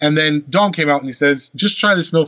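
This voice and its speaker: With an American accent, a man speaks at a fairly high pitch with ordinary pitch variation. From Norway. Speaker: car care product brand founder. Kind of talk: casual interview.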